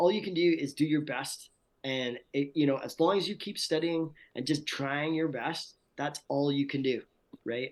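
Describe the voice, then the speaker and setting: A fairly high-pitched man at a moderate pace. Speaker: voice actor. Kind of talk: interview answer. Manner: casual, enthusiastic.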